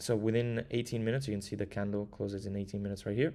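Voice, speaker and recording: In an Italian accent, a man speaks very fast at a fairly low pitch with fairly even intonation. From Italy. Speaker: crypto trader. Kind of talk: live stream market analysis. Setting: live stream with chat.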